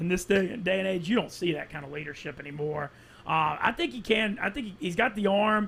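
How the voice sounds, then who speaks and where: A man talks with a Southern US accent at a high pitch. His pace is fairly quick. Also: ordinary pitch variation. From Louisiana (Monroe). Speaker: sports media personality. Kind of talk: casual chat.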